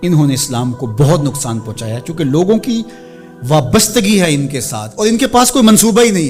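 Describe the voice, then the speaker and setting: Over music in the background, a man speaks in a fairly high pitch with very wide pitch swings. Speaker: Islamic preacher / religious speaker. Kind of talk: emotional religious sermon (bayan).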